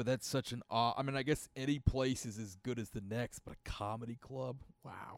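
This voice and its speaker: A man speaks in a normal speaking voice at a fairly quick pace, with medium pitch and fairly even intonation. The sound is dry and close, with no echo. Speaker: podcast host and comedian. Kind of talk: casual banter between co-hosts. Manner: casual, profane.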